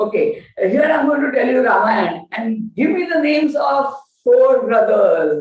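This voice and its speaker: A woman's voice with very wide pitch swings, heard with audible room echo. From India, Gujarat. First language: Gujarati. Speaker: lecturer on Indian knowledge systems. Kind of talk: lecture. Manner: halting, many fillers.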